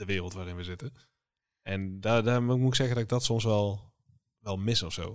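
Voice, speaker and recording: A man speaks in a normal speaking voice at a fairly low pitch and a moderate pace. His intonation stays fairly even over a very clean recording with a silent background. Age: 20s. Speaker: podcast co-host, creative designer. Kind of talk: casual chat.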